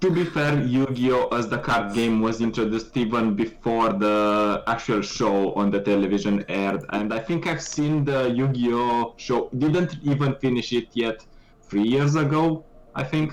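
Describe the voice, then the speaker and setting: A man with a Romanian accent talks at a moderate pace and medium pitch, with ordinary pitch variation and very even loudness. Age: 20s. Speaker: esports caster. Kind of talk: casual chat.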